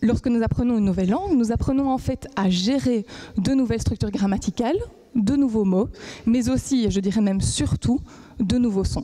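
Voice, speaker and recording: A woman with a fairly high pitch and a dark, mellow, somewhat breathy tone talks at a moderate pace, with ordinary pitch variation and very even loudness. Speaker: PhD student. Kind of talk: competition talk.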